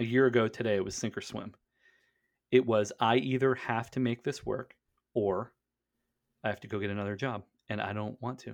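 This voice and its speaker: Pausing long and often, a man with an American accent talks fairly quickly at a medium pitch, his loudness swinging widely. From western Pennsylvania. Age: 30s. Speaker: e-commerce business owner. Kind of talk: casual interview. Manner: animated.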